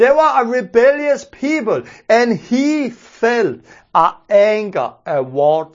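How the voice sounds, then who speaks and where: Someone speaks at a very slow pace with a Danish accent. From Denmark. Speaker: preacher. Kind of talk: sermon.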